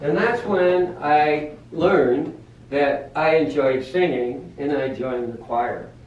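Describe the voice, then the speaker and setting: A man speaks at a very slow pace with a fairly high pitch and lively intonation. Audible room echo and noticeable background noise surround his voice. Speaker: Toastmasters speaker, former boat captain turned teacher. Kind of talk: prepared speech. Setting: club meeting in a coffee house. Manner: loud, projecting.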